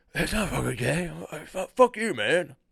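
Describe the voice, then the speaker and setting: Putting on a character voice, a man speaks high and at a fairly slow pace. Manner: defensive, aggressive.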